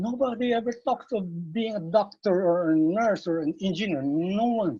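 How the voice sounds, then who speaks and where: This man has a Visayan Filipino accent and moves at a moderate pace. His intonation is lively. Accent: Filipino (Cebuano) English. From Philippines, Cebu City. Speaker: martial arts master. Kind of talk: interview.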